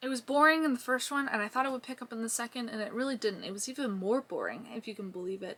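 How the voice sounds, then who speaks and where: A woman's fairly high voice at a very fast pace over noticeable background noise. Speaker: booktuber reviewing books. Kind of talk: casual vlog talk to camera. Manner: animated.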